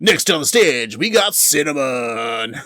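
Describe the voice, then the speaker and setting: A man talks at a fairly slow pace in a put-on character voice. His pitch sits fairly high. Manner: announcing, showy.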